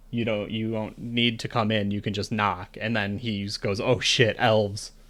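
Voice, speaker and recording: Using a put-on character voice, a man speaks at a moderate pace with a fairly low pitch and monotone, flat intonation. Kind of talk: stuffy. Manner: flustered, then gulping.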